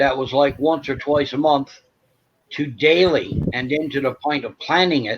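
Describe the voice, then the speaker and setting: A man talks at a fairly slow pace. He has an ordinary speaking voice, pitched fairly high. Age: 60s. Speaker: veteran with PTSD. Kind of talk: casual chat.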